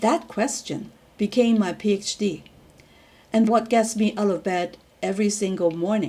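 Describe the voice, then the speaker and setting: A woman's voice is fairly high in pitch and somewhat breathy. Her tone is dark and mellow. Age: 60s. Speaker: PhD student. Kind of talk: personal reflection talk to camera.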